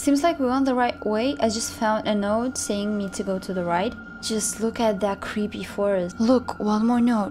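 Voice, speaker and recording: Over noticeable background noise, a woman speaks at a moderate pace with hardly any pauses and ordinary pitch variation. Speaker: vlogger. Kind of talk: casual vlog chat. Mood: nervous, spooked excitement. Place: forest. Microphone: phone near.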